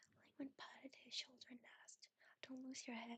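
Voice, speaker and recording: Soft-spoken and high-pitched, a woman talks at a moderate pace in a monotone, flat intonation. The sound is dry and close, with no echo. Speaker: ASMR VTuber reader. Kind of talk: calm narration reading a novel aloud. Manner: soft-spoken, sleepy.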